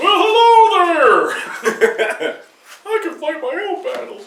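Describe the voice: An extremely high, squeaky voice comes through. It's a put-on character voice at a fairly slow pace.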